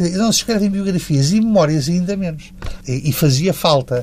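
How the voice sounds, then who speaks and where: The man speaks fairly quickly, and there is noticeable background noise. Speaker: university professor. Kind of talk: interview.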